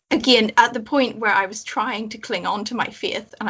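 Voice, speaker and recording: A woman speaks with a Northern Irish accent. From Northern Ireland, Belfast. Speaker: former believer, chaplaincy guest. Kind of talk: casual chat.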